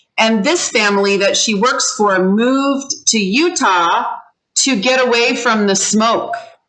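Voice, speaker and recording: A woman with a fairly high voice talks fairly slowly with lively intonation and very even loudness, amid audible room echo. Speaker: ESL teacher. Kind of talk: online class. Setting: video call. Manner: animated.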